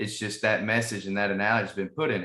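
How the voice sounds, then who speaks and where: This man has a bright, sharp tone. He speaks with a Southern US accent. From US South. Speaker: podcast host. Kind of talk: casual interview.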